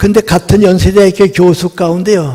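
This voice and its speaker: Noticeable background noise surrounds a man's voice. He speaks at a moderate pace with a high pitch. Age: 80s+. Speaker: philosopher and professor. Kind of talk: lecture.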